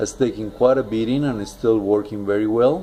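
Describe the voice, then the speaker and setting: Keeping a moderate pace, a man talks at a medium pitch with fairly even intonation. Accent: non-native. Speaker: watch reviewer. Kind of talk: product review. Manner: halting, many fillers.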